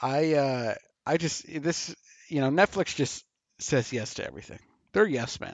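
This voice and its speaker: With long, frequent pauses, a man speaks at a moderate pace in a fairly high pitch, his pitch varying in an ordinary way. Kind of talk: mock ring announcer intro, parody of a boxing bout call.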